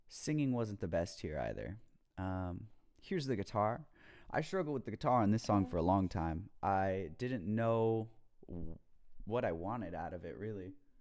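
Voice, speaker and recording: A man speaks with lively intonation and a fairly low pitch. His pace is moderate, and the background is quiet. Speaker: home musician explaining own mixing. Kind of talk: tutorial. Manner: casual, hesitant with fillers.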